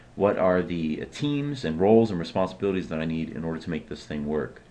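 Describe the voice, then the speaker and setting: The man's delivery has lively intonation. He moves at a fairly quick pace. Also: hardly any pauses. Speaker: SharePoint consultant and presenter. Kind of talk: webinar presentation. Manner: fast.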